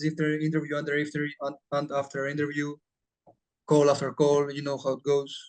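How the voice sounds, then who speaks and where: A man speaks at a fairly high pitch with a Greek accent. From Greece. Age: young. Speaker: appointment setter. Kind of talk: interview. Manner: halting, non-fluent English.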